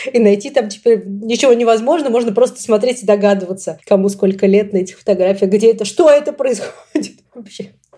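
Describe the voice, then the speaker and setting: Pitched fairly high, a woman's voice moves with ordinary variation. She speaks very fast. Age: 30s. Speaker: podcast host. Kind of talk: casual chat.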